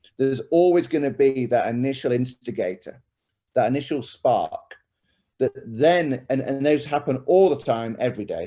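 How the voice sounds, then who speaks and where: A man's dark, mellow voice at medium pitch, with ordinary pitch variation and a British accent. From UK. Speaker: tech company executive. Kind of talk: panel discussion.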